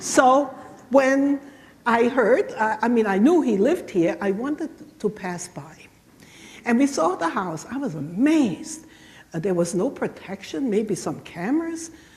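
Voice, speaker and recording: A woman with a German accent, fairly slow delivery, and very wide pitch swings. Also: fairly high pitch for a woman. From southwestern Germany. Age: 70s. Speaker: Holocaust survivor speaker. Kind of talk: lecture. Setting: church. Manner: halting.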